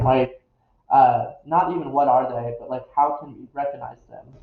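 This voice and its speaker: A somewhat breathy man at a moderate pace, his intonation fairly even. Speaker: occult YouTuber. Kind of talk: casual vlog monologue. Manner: halting, many fillers and restarts.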